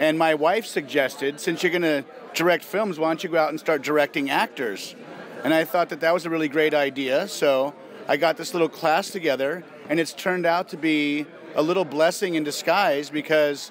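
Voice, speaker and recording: Over light background noise, the speech moves at a fairly quick pace with ordinary pitch variation and a dry sound with no echo. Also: man. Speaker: actor being interviewed. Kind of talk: interview answer. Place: hall.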